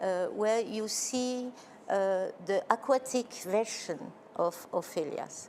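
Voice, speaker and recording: With a French accent, a woman speaks very slowly in a fairly high voice with ordinary pitch variation. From Belgium. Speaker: choreographer. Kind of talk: interview. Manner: halting.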